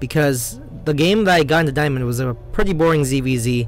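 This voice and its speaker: A man talks in an American accent with ordinary pitch variation. Music plays in the background. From US, Korean American. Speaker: video game commentator. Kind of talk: gameplay commentary. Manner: casual, fast, some stumbling.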